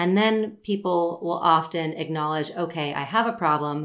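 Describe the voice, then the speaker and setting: A plain, everyday voice from a woman, fairly low in pitch, with ordinary pitch variation at a fairly slow pace. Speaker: Pilates instructor and podcast host. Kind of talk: casual chat; sales pitch.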